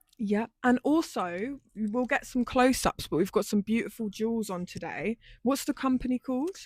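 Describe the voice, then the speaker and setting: A woman's ordinary speaking voice, fairly high in pitch with lively intonation, at a moderate pace with hardly any pauses, on a very clean recording with a silent background and a dry, close sound with no echo. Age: 20s. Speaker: lifestyle YouTuber. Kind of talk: casual chat.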